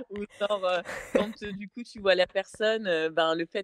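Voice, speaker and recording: A woman's voice with ordinary pitch variation, dry and close with no echo, over a quiet background. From France. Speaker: interview guest sharing dating story. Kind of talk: casual podcast chat. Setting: podcast. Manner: hesitant, many fillers.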